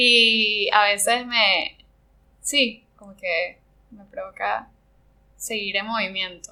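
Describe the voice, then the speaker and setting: A woman with a fairly high, bright, sharp voice speaks very slowly with fairly even intonation and long, frequent pauses. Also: big swings in loudness. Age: 30s. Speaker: ceramic artist. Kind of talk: interview conversation. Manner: halting, many fillers.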